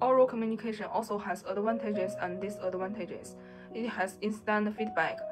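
A woman at a moderate pace with fairly even intonation, clear music playing in the background. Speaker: presenter. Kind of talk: class presentation. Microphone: webcam.

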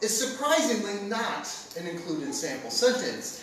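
A man talks at an extremely high pitch, his voice swinging very widely up and down. Noticeable noise sits in the background. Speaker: spoken word poet, competitor. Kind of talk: spoken word poetry performance. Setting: stage with audience. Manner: sardonic, angry.

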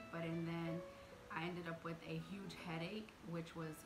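A woman speaks at a moderate pace. Clear music is heard behind her. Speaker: home vlogger. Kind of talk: casual vlog chat. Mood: warm, chatty. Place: home room. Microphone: phone near.

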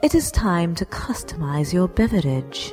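A hissing, put-on character voice at a middle pitch and a fairly slow pace, with clear music in the background. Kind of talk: parody cooking show narration. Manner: deadpan, formal, sardonic.

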